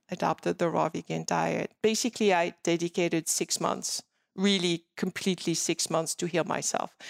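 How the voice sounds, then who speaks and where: In a French accent, a woman with a fairly low pitch and vocal fry speaks at a moderate pace with fairly even intonation, on a very clean recording with a silent background and a dry, close sound with no echo. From France, Paris. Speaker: skincare entrepreneur and cancer survivor. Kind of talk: interview. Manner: laughs often.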